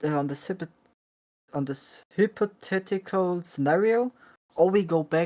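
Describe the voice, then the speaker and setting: In a German accent, a woman speaks with a dark, mellow tone and lively intonation. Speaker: vegan activist streamer. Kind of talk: heated debate. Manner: halting, searching for words.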